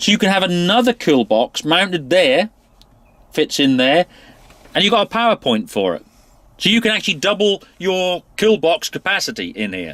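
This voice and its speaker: In a British accent, a man speaks with a high pitch and very wide pitch swings, the sound dry and close with no echo. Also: moderate pace. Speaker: tractor reviewer. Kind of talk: product walkthrough review. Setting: inside a tractor cab. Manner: casual, with fillers.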